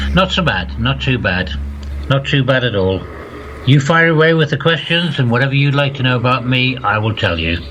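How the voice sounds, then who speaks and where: Lively intonation marks this man's medium-pitched voice at a fairly quick pace. Noticeable background noise and audible room echo are present. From northeast England, County Durham. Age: 60s. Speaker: former radio DJ. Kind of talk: interview.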